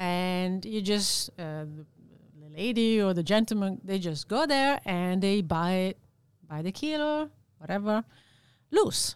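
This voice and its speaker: A woman with an Italian accent talks at a fairly slow pace in a medium pitch, her intonation lively. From Italy. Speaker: sales and operations manager. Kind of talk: interview.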